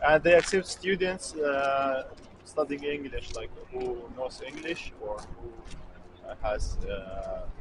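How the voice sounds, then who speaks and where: A man's very slow speech with big swings in loudness, over noticeable background noise. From Syria. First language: Kurdish. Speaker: student. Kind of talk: street interview. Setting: outdoors. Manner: halting.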